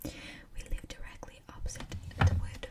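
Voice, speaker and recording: The speaker whispers. Noticeable background noise can be heard. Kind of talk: ASMR scary story reading from Reddit. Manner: whispered.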